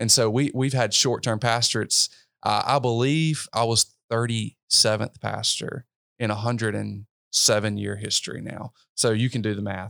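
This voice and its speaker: In a Mississippi accent, a man talks at a moderate pace, in a very clean recording with a silent background and a dry, close sound with no echo. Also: medium pitch for a man, fairly even intonation. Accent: US Southern, Mississippi. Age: 20s. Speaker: pastor. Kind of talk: interview conversation. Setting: hotel room.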